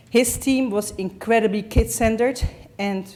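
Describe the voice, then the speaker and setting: A woman with a Dutch accent, speaking at a fairly slow pace with ordinary pitch variation. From Netherlands. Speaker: parent of patient. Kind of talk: reading aloud.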